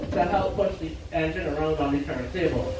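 Amid noticeable background noise and audible room echo, a man talks at a fairly quick pace. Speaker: train conductor or tour guide. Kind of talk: tour safety announcement. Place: station.

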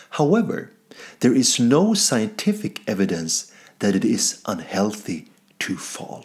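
A man with a Swedish accent speaks at a fairly slow pace, with vocal fry. His pitch swings very widely over a quiet background. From Sweden. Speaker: comedian. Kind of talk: mock scientific presentation. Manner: formal. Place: home room. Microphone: webcam.

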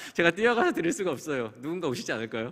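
A man is speaking. The background is quiet. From South Korea. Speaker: conference speaker on cloud security; conference speaker. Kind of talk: conference talk. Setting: stage with audience. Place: hall. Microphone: podium.

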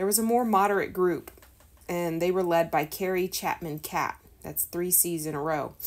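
A plain, everyday voice speaks at a moderate pace with fairly even intonation. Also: woman, fairly low pitch for a woman. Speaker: homeschool teacher reading a lesson. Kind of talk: reading a history textbook aloud with explanations.

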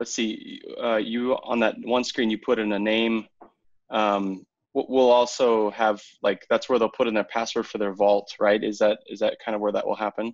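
At a moderate pace, a man speaks with long, frequent pauses. The background is quiet. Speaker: team lead hosting a company update. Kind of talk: team meeting demo update. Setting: video call. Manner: enthusiastic. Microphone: video call.

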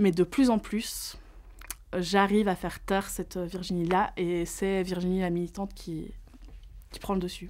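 With a flat, monotone delivery and big swings in loudness, a woman at a medium pitch speaks with long, frequent pauses. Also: fairly slow pace. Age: 30s. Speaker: psychologist and fat activist; interviewee. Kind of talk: testimony. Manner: casual, with frequent hesitations. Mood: earnest, reflective. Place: studio.

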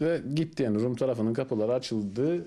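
With a Turkish Cypriot accent, a man talks at a fairly quick pace in a dark, mellow tone with lively intonation. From Northern Cyprus, Famagusta; Northern Cyprus. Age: 30s. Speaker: construction worker; interviewee. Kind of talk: interview. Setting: at home. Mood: relaxed, smiling. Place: home room. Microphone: handheld.

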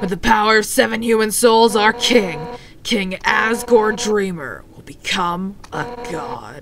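A gravelly, female-sounding put-on character voice at medium pitch comes with clear background noise. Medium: game stream. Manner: defiant, heroic, intense.

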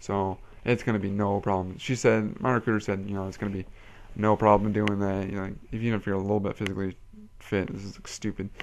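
With an American accent, a man talks at a fairly quick pace in a fairly low pitch and a monotone, flat intonation against a quiet background. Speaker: vlogger and Air Force enlistee. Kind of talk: casual vlog monologue. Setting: webcam video. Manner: casual, rambling, filler words.

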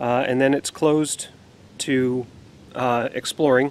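The sound is dry with no echo as a man speaks at a fairly slow pace. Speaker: outdoor explorer vlogger. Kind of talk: casual vlog chat. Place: forest. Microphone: phone near.

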